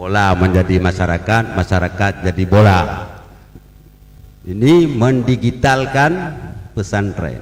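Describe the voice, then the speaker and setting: A man with an Aceh accent, very slow in pace and fairly low in pitch, against noticeable background noise. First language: Acehnese (speaking Indonesian). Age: 60s. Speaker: religious leader speaking at ceremony. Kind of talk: ceremonial speech. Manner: humorous, conversational.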